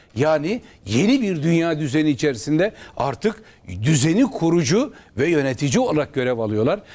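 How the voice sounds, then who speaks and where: A man speaks with a fairly high pitch. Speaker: opposition member of parliament and lawyer; lawyer. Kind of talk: political TV interview. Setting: TV studio, live broadcast. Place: studio.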